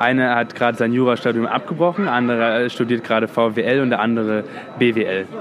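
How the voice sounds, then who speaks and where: Recorded with audible room echo and noticeable background noise, a man speaks fairly quickly at medium pitch, with ordinary pitch variation and very even loudness. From London. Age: 20s. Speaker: actor. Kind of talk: casual chat.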